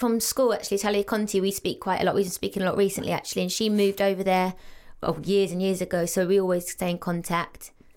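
A woman talks with an English accent at a fairly quick pace. The recording is very clean, with a silent background. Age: 30s. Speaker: actress and reality star. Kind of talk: casual chat.

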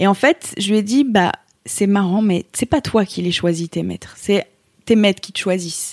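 The voice moves at a moderate pace with ordinary pitch variation. The sound is dry and close, with no echo. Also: woman. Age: 30s. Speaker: yoga teacher. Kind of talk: interview testimony. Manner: hesitant, many fillers and repeated words.

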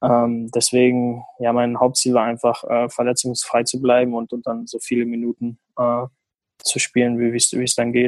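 A man speaks at a moderate pace in a medium pitch, his intonation flat and monotone, recorded with a dry, close sound and no echo. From Germany, small village. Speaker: professional footballer. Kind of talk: casual interview. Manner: halting, many fillers.

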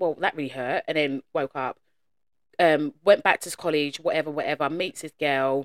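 With an English accent, a woman speaks at a moderate pace in a very deep, low voice with fairly even intonation and big swings in loudness, the sound dry and close with no echo. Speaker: podcast co-host. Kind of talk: casual chat.

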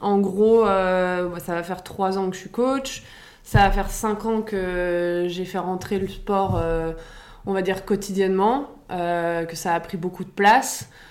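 A woman at medium pitch speaks very slowly with fairly even intonation. Audible room echo surrounds her voice. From Paris, France. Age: 30s. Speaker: fitness coach. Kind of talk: casual interview.

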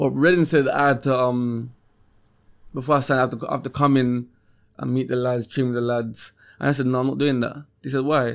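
In a London accent, a man talks at a fairly quick pace with a medium pitch and a flat, monotone intonation. The recording is very clean, with a silent background. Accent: London Multicultural English. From South London (Peckham). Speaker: professional footballer. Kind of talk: interview.

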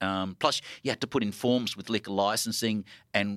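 An Australian accent, dry and close with no echo, on a very clean recording with a silent background. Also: man. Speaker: record label founder and record store owner. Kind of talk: live panel conversation. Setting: stage with audience.

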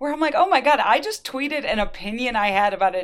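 In a plain, everyday voice, a woman talks at a fairly quick pace with lively intonation on a very clean recording with a silent background. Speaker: writer and podcast host. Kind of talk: interview.

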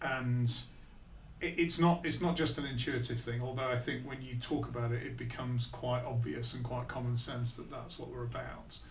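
The man talks at a moderate pace. Noticeable background noise and audible room echo are present. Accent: Lancashire. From northern England, Blackpool. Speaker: business executive. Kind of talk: interview.

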